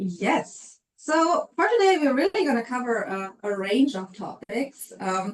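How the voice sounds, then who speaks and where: Speaking slowly but with hardly any pauses, a woman with a German accent uses a high pitch that swings very widely. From Germany. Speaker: HR consultant. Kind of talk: webinar presentation. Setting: online webinar.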